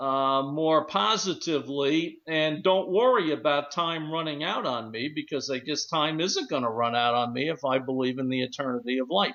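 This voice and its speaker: At a moderate pace and with hardly any pauses, a man speaks in a normal speaking voice, fairly high in pitch with ordinary pitch variation. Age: 60s. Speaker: radio talk show host. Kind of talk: radio discussion show.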